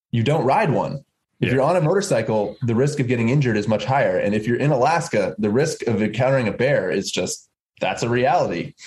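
Speaking very fast with lively intonation, a man with an American accent has a somewhat breathy, medium-pitched voice and very even loudness. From US Northeast (Massachusetts). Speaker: motorcycle journalist and presenter. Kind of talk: casual chat.

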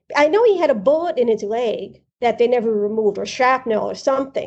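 A woman with a New York accent and a high pitch talks at a fairly quick pace with lively intonation. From East Harlem, New York City. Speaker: host's sister. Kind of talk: casual interview, childhood memories. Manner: halting, repeats words.

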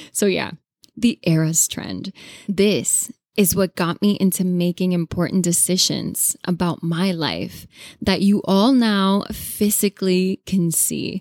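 A woman with a Spanish accent speaks very slowly at a medium pitch with fairly even intonation, in a dry, close sound with no echo on a very clean recording with a silent background. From Latin America. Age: 20s. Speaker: podcast host. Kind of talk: solo podcast monologue.

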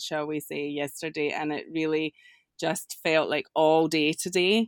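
A woman's very deep, low voice in a Scottish accent, monotone and flat, at a very slow pace, with a dry, close sound and no echo. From Scotland. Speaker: prayer coordinator. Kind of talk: casual chat.

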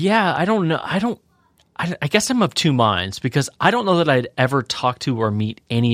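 A man speaks at a fairly quick pace in a playful tone with very wide pitch swings. The recording is very clean with a silent background, and the sound is dry and close with no echo. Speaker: podcast co-host. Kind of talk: casual banter podcast. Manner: joking, playful.

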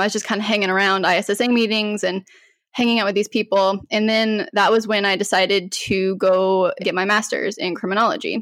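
Someone with an American accent speaks at a fairly quick pace in an unremarkable speaking voice with fairly even intonation, on a very clean recording with a silent background. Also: woman, medium pitch for a woman. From Colorado, US. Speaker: cybersecurity professional. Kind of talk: interview.

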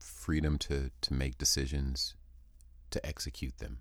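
A man speaks at a very slow pace in a very deep, low voice with vocal fry. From San Diego, California. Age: 40s. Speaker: rapper and podcast host. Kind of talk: interview. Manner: halting, frequent repetitions.

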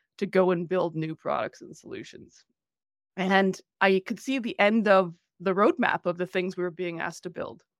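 A woman with a Canadian accent speaks in a plain, everyday voice at a medium pitch and moderate pace, her intonation fairly even, the sound dry and close with no echo on a very clean recording with a silent background. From rural Canada (Manitoba area). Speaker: banking technology executive. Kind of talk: interview.

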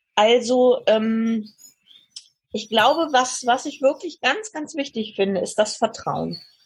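A woman speaks in a high voice. Her pace is very slow. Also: ordinary pitch variation. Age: 60s. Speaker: podcast guest sharing life story. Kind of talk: interview. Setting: remote call from southern France.

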